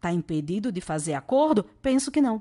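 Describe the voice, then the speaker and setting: With a Natal accent, a woman talks in an animated tone at a fairly high pitch, her voice swinging very widely in pitch against a quiet background. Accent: northeastern Brazilian (Natal). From Brazilian Northeast, Natal. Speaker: law professor. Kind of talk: lecture.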